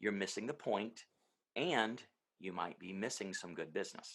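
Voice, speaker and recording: This is a man with a fairly low pitch. His delivery has ordinary pitch variation in a normal speaking voice. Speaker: auctioneer. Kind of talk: podcast interview.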